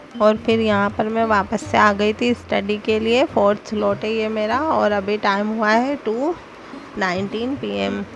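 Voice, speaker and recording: A woman's fairly high-pitched voice at a fairly slow pace, with ordinary pitch variation and noticeable background noise. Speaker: vlogger, housewife studying for exams. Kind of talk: casual vlog narration.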